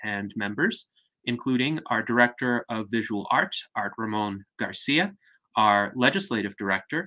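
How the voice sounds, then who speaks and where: Over a quiet background, a man talks at a moderate pace with a bright, sharp tone. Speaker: host of online salon. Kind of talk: formal introduction. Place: home room. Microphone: webcam.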